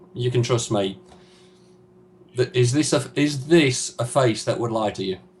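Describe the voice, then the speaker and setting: Somewhat breathy, a man at a medium pitch speaks at a fairly slow pace with ordinary pitch variation. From Yorkshire, northern England (Huddersfield). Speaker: gamer, interview guest. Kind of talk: casual interview.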